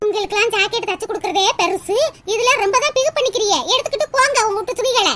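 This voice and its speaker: A woman talks in a cartoonish character voice at an extremely high pitch. Her pace is moderate. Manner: boastful.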